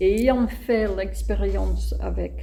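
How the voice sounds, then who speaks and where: Someone with a non-native accent speaks amid noticeable background noise and audible room echo. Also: woman. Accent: noticeable foreign accent in French. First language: not French (speaking French). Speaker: playwright. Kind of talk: interview. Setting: web radio interview.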